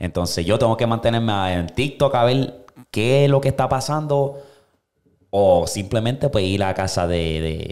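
There is a quiet background as a man talks at a fairly slow pace. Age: 20s. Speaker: podcast host. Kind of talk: casual chat. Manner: animated. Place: studio. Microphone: studio mic.

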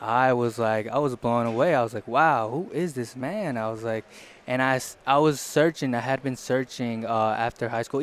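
An American accent with ordinary pitch variation in a dry sound with no echo. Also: man. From US South. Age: young. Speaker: hardscaping apprentice; guest. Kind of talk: casual interview. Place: booth. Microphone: headset.

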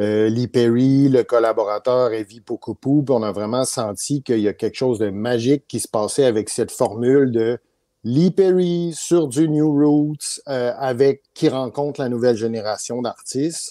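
Man with a Canadian French accent, dark and mellow in tone, at a fairly slow pace with ordinary pitch variation, dry with no echo against a quiet background. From Quebec, Canada. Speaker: music producer; guest. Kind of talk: interview. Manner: hesitant, many fillers. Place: home room. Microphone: video call.

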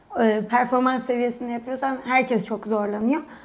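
A woman does the talking. Her pitch is high. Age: 20s. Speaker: retired national gymnast; guest. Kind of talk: casual interview chat. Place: studio. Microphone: lapel.

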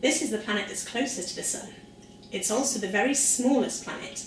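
With a Welsh accent and an upbeat tone, a woman talks at a fairly high pitch over light background noise, with audible room echo. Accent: soft Welsh. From South Wales. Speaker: science presenter for children. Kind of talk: educational lesson for children. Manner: upbeat, friendly. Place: kitchen. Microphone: camera far.

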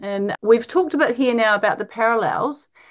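Against a quiet background, a woman with a New Zealand accent speaks high-pitched with lively intonation. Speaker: podcast host, medical doctor. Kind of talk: interview.

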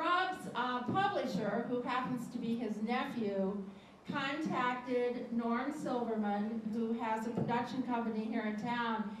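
A woman with a fairly high pitch speaks at a fairly slow pace and with fairly even intonation. Audible room echo and light background noise are present. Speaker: event host introducing a poet. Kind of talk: spoken introduction at a live event. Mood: warm, friendly. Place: hall.

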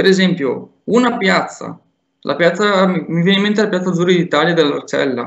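The pace of this man's speech is moderate. His voice is high in pitch. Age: 20s. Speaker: urban planning graduate. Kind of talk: presentation and interview.

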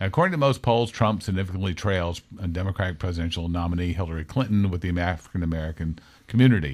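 A man's very deep, low pitch at a very fast pace with hardly any pauses, against a quiet background. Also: ordinary pitch variation. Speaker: radio talk show host. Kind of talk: casual talk radio discussion. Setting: radio studio, also filmed. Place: studio.

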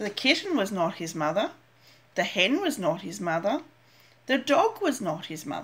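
Gentle in tone, a woman speaks with very wide pitch swings and long, frequent pauses. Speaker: grandmother reading storybook aloud. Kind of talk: bedtime story reading aloud to a child, picture-book narration. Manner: slow, gentle, sing-song storytelling pace with repetition and small pauses; animated character voices, questioning tone for 'Are you my mother?'. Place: home room. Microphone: webcam.

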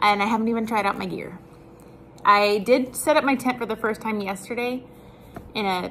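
A woman's fairly even intonation at a moderate pace, with light background noise. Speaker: vlogger. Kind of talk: casual vlog chat. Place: home room. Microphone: webcam.

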